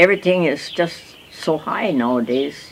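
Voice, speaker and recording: A woman with an American accent talks with ordinary pitch variation over noticeable background noise. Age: 80s+. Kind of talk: interview answer.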